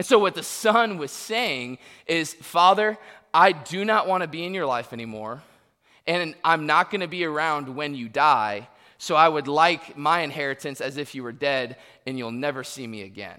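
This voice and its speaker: With an American accent, the speaker uses a bright, sharp tone, lively intonation and big swings in loudness at a moderate pace on a very clean recording with a silent background. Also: man, fairly high pitch for a man. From Florida, US. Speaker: pastor. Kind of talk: sermon.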